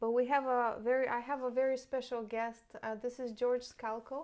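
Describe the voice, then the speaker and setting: A woman with a non-native accent at a moderate pace, her intonation fairly even. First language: not English. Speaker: real estate agent and interview host. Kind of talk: interview.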